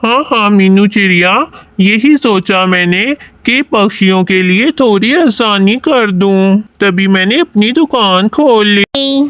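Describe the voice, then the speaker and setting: A cartoonish character voice with fairly high pitch speaks at a very slow pace. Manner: sly, boastful.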